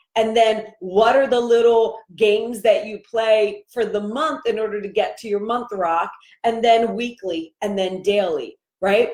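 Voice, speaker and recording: Using an ordinary speaking voice, a woman talks at a fairly slow pace with fairly high pitch and fairly even intonation. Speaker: life coach. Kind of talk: live stream coaching talk. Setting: live video stream.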